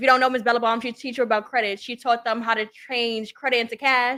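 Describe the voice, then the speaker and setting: A woman with a Brooklyn accent speaks in a fairly high, bright, sharp voice with fairly even intonation. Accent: New York (Brooklyn). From Brooklyn, New York. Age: 20s. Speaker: entrepreneur and social worker. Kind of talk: podcast interview.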